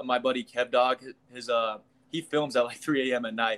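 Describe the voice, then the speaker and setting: Speaking at a moderate pace, a man with a medium pitch has a Midwestern American accent. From Kansas, US Midwest. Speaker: YouTube comedian, former college football player. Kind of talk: casual interview. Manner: casual, filler-heavy.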